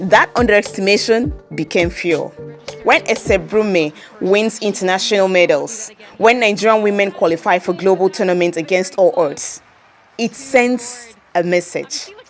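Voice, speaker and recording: The pitch variation is ordinary. Behind the voice, music is playing. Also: woman, medium pitch for a woman, moderate pace. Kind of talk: commentary talk to camera.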